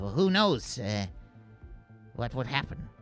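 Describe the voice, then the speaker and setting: A man puts on a character voice at a medium pitch. Faint music plays in the background. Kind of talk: academic lecturing. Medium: actual play. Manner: prim, verbose, says 'you see' often.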